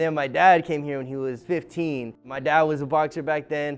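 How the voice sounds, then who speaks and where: Music plays in the background as a man talks at a moderate pace. He has an American accent and a fairly high pitch. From Echo Park, Los Angeles. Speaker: coffee shop owner. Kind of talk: interview answer. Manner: casual.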